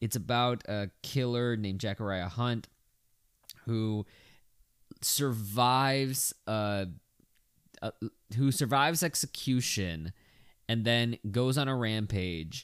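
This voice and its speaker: On a very clean recording with a silent background, the speaker goes at a very slow pace with long, frequent pauses and ordinary pitch variation. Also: man, medium pitch for a man. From Texas. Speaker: podcast host, film reviewer. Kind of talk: solo review podcast. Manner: casual, animated.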